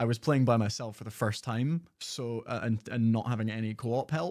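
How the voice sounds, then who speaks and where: This man speaks with a Scottish accent. His pitch sits in the medium range. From Scotland. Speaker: gaming YouTuber. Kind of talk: live stream reaction commentary. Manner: casual, conversational.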